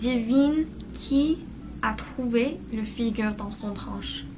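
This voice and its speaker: Very slowly, a woman talks through audible room echo and noticeable background noise. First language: not French (learner) (speaking French). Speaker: vlogger, French learner. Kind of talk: casual vlog narration. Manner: halting, with fillers.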